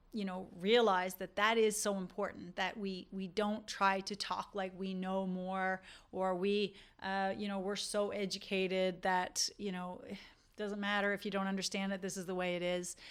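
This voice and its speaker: A woman talks at a medium pitch in a monotone, flat intonation. The recording is very clean, with a silent background. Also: moderate pace. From Canada, rural Newfoundland. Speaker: dentist. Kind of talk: podcast monologue.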